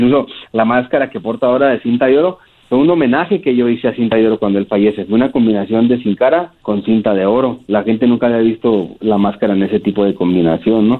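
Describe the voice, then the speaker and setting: Speaking very fast at a medium pitch, a man keeps his loudness very even while his pitch varies in an ordinary way. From Mexico, Ciudad Juárez. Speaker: professional wrestler. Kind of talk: interview.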